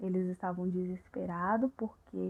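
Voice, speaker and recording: At a fairly slow pace, the speaker's voice stays soft-spoken. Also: woman. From Brazil. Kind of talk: ASMR, casual chat retelling a film plot.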